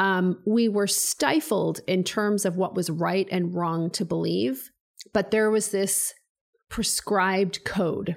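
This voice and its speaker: A woman with a Canadian accent uses a normal speaking voice at medium pitch, with ordinary pitch variation. The recording is very clean with a silent background. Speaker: business coach and founder. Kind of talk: casual interview chat.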